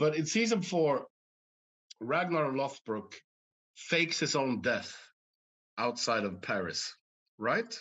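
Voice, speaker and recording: Against a quiet background, a man speaks at a very slow pace with very wide pitch swings, long, frequent pauses and vocal fry. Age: 50s. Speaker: actor. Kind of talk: interview. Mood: relaxed, reflective. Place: home room. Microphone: video call.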